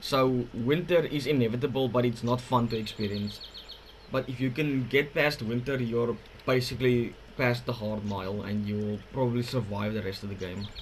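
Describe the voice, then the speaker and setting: A man with a non-native accent speaks at a moderate pace in a medium pitch, with ordinary pitch variation and noticeable background noise. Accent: awkward-sounding non-native English. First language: not English. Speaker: gaming youtuber. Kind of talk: gameplay commentary. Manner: halting, with fillers and restarts.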